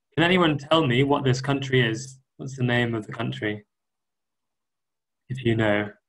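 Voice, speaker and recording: Long, frequent pauses break up a man's somewhat breathy speech. His pitch is medium, with ordinary pitch variation. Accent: Welsh. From Wales. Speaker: guest English teacher. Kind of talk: online lesson for school pupils. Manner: slow, clear, simple wording for learners.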